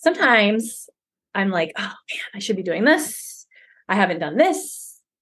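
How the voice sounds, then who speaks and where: Loud and at a moderate pace, a woman swings her pitch very widely, leaving long, frequent pauses. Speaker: guest, business owner and homeschooling mom. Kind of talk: casual interview chat. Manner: loud, outgoing.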